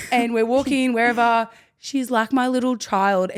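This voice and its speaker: This is a woman with an Australian accent. Her pitch is high. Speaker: rugby league player and podcast co-host. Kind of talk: casual chat. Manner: animated.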